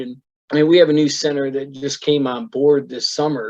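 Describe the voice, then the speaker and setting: A man with an ordinary speaking voice talks at a fairly quick pace, his pitch fairly high. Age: 60s. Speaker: bowling center operator. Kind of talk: interview. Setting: video call.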